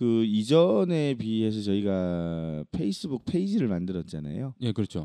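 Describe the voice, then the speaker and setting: With a dark, mellow tone and very wide pitch swings, the voice moves at a fairly slow pace with hardly any pauses, in a dry, close sound with no echo. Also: man, fairly low pitch for a man. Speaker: podcast co-host. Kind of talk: casual chat. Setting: studio.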